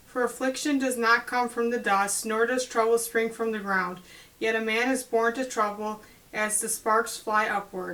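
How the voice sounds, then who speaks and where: Here a woman talks at a moderate pace with a fairly high pitch. Her tone is bright and sharp, her intonation monotone and flat. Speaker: Bible study host. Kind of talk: scripture reading. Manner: clear.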